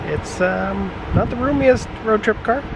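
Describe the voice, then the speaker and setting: A man talks over loud background noise. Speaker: road trip vlogger. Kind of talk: casual vlog chat. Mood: relaxed, slightly hot. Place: open country. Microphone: phone near.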